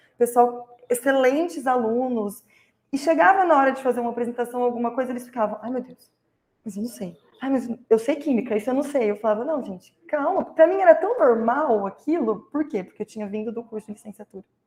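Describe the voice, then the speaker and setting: A woman talks at a fairly quick pace and high pitch, with ordinary pitch variation and big swings in loudness. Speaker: chemistry researcher, former teaching-degree student. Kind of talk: panel talk recounting career path. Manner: fast; animated.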